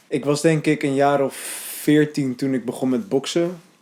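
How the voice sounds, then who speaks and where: A man's voice with a dark, mellow tone. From Netherlands, Hellevoetsluis (Rotterdam region). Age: 20s. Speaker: documentary interviewee. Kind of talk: documentary interview. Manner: hesitant, many filler sounds.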